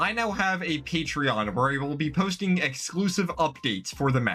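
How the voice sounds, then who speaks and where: With very wide pitch swings, a man talks at a fairly high pitch while noticeable background noise plays behind him. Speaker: game developer and YouTuber. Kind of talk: casual devlog narration. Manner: fast; animated.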